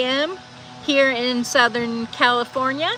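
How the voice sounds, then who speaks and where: Over music in the background, a woman speaks high for a woman in a raised, projected voice, with ordinary pitch variation at a fairly slow pace. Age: 50s. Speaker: livestreamer reading chat. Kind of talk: casual livestream chat.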